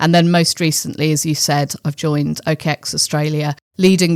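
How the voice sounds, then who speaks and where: Speaking at a moderate pace with a British accent, a woman with a very deep, low pitch keeps her intonation fairly even, in a dry, close sound with no echo. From England (London). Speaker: finance executive. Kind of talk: interview.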